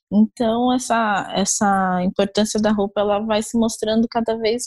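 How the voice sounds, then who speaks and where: Very slow, somewhat breathy speech from a woman at a fairly high pitch, monotone and flat, with a dry, close sound and no echo. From Brazil, Osasco, Greater São Paulo. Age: 20s. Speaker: fashion researcher. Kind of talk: interview. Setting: remote call.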